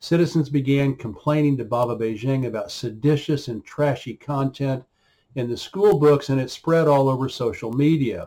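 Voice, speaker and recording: Somewhat breathy, with a dark, mellow tone, a man with an American accent speaks at a medium pitch and moderate pace with ordinary pitch variation. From US, Oklahoma. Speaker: writer and commentator. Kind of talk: reading aloud.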